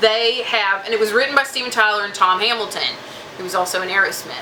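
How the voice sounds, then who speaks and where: With an American accent, a woman speaks in a monotone, flat intonation, with audible room echo and noticeable background noise. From Southeast Texas. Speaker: music reviewer / YouTuber. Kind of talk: casual music review vlog. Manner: conversational, many fillers and restarts.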